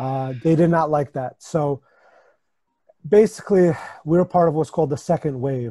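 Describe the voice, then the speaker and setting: In a dry, close sound with no echo, a man speaks at a moderate pace and fairly high pitch, his somewhat breathy voice dark and mellow with ordinary pitch variation. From US, New York area, born in Ukraine. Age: 30s. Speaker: supplement company owner. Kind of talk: podcast interview.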